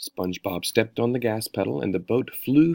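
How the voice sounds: A natural reading voice carries lively intonation.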